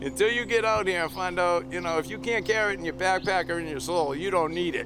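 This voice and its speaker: Over music in the background, a man with a Boston accent talks fairly quickly at a high pitch with lively intonation. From Massachusetts (Quincy, Boston area). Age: 60s. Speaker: hiker. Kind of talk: casual chat.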